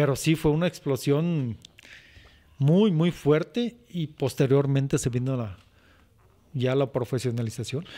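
A man speaks at a fairly slow pace with a dark, mellow tone and a fairly high pitch. His pitch varies in an ordinary way, and he leaves long, frequent pauses. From Zacatecas, Mexico. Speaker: charro, rope-trick instructor. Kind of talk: casual chat.

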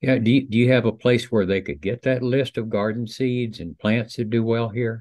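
With hardly any pauses, a man talks at a moderate pace and with fairly even intonation, the sound dry with no echo over a quiet background. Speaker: event moderator. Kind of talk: Q&A moderation. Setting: video call. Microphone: video call.

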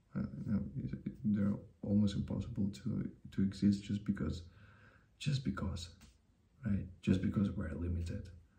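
At a moderate pace, a man with a dark, mellow tone and fairly low pitch speaks with vocal fry, ordinary pitch variation, and long, frequent pauses. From Russia. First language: Russian. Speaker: YouTuber. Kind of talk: personal vlog monologue. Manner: halting, frequent repetitions. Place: home room. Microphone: webcam.

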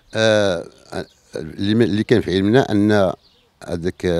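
Against a quiet background, a man talks in a fairly low pitch, the sound dry with no echo. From Morocco, Middle Atlas (Ifrane area); Morocco. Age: 50s. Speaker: local elected official. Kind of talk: interview. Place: garden. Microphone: handheld.

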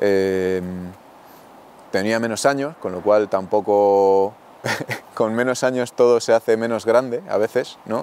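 At a very slow pace with long, frequent pauses, a man speaks in a fairly even intonation with a dry sound and no echo. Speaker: rural community project member, baker. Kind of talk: interview answer. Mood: reflective, candid. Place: open country. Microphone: lapel.

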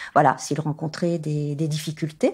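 In a very clean recording with a silent background, a woman's voice is heard. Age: 60s. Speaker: farmer. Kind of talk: testimony. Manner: some hesitations.

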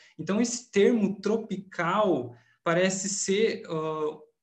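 Against a quiet background, a man speaks in a high pitch with lively intonation. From Rio Grande do Sul, Brazil. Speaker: film researcher; presenter. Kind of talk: academic conference presentation; conference talk. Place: home room. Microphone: webcam.

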